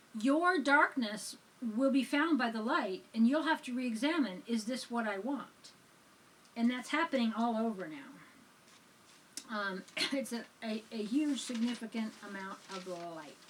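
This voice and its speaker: At a fairly slow pace and with a calm tone, a fairly high-pitched woman speaks with lively intonation, big swings in loudness and long, frequent pauses. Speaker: spiritual teacher, church reverend. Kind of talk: spiritual sermon ramble, casual talk to camera. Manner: calm, conversational.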